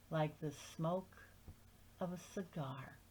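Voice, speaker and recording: A woman speaks at a very slow pace. Her voice is somewhat breathy, with monotone, flat intonation. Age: 70s. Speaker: amateur reader of literature. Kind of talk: reading aloud; casual introduction.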